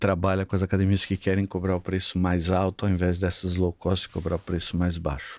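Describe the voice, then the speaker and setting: In a very clean, dry and close recording with no echo and a silent background, a man with a very deep, low pitch speaks at a moderate pace in a monotone, flat way. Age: 60s. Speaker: sales consultant for gyms. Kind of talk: podcast interview.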